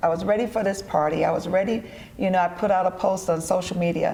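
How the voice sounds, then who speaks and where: Very fast speech comes from a woman at medium pitch with an American accent and fairly even intonation. Noticeable background noise sits behind her. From Detroit, US Midwest. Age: 60s. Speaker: entrepreneur and event organizer. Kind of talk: TV interview.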